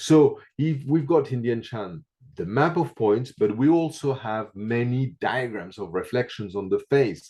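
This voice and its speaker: This man speaks with a non-native accent at a medium pitch. His pace is fairly slow, and his intonation is lively. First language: not English. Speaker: reflexology teacher. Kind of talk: interview. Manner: halting, many fillers.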